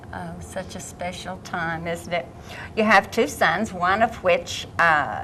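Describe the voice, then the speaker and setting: Noticeable background noise sits behind a woman with an American accent. She talks at a very slow pace, with big swings in loudness. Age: old. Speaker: poetry program host. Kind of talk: interview.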